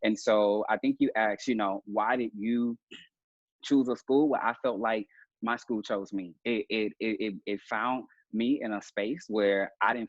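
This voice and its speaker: A man talks in a Southern US accent at a moderate pace. His pitch is fairly low and his intonation fairly even. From US South, Mississippi Delta. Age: 30s. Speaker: coach and mentor. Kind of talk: interview. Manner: halting, many fillers.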